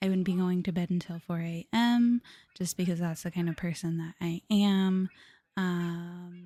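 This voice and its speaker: A woman's somewhat breathy, fairly low voice with fairly even intonation, in a dry, close sound with no echo. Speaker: vtuber streamer. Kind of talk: casual live stream chat. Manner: halting, many fillers.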